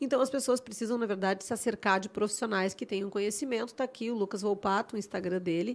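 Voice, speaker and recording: With a Gaúcho Brazilian accent, a woman talks at a very fast pace with hardly any pauses. Her pitch is medium and her intonation fairly even. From Rio Grande do Sul, Brazil (Porto Alegre). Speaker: podcast host and architect. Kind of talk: casual interview chat.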